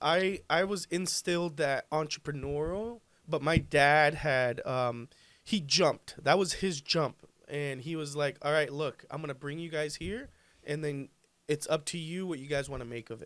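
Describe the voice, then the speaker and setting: A moderate pace with ordinary pitch variation, in a Spanish accent. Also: man, fairly high pitch for a man. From Colombia. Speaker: pool business owner. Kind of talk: podcast interview.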